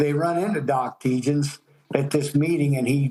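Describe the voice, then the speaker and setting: With music in the background, a man in a Midwestern American accent talks at a moderate pace and fairly high pitch, with ordinary pitch variation. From Ohio. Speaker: farmer. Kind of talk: interview answer. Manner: casual, plain-spoken.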